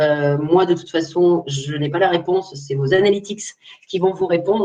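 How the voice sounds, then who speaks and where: This woman's voice sits fairly low and has a dark, mellow tone. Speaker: social media trainer, agency owner. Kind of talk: webinar Q&A. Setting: online webinar. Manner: fast; casual.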